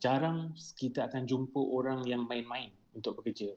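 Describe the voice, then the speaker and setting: In an ordinary speaking voice, a man of medium pitch speaks at a moderate pace with fairly even intonation. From Malaysia, Melaka. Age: 30s. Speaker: chemical engineer. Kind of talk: podcast interview.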